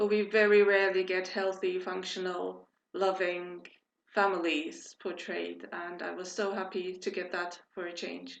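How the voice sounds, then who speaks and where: Speaking at a fairly slow pace, a woman keeps a medium pitch and flat, monotone intonation. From Turkey, Istanbul. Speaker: fan club member. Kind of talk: casual group video chat.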